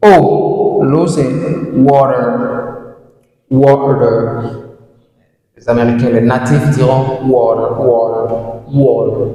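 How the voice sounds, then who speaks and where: A man at medium pitch, with fairly even intonation, a very slow pace, long, frequent pauses, and audible room echo. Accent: African. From sub-Saharan Africa (francophone). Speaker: English language teacher. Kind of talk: tutorial. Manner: repetitive, slow drilling of words; hesitant fillers.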